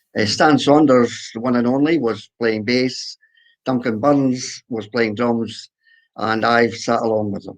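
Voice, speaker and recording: At a fairly slow pace, a man with a Scottish accent speaks at a medium pitch. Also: fairly even intonation. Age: 80s+. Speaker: accordionist. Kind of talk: interview. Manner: halting.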